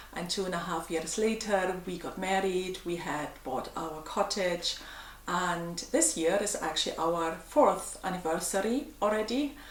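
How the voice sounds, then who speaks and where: With an American accent and a medium-pitched voice, a woman speaks fairly slowly amid audible room echo and noticeable background noise. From Germany. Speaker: vlogger. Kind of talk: casual Q&A vlog. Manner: calm, gentle.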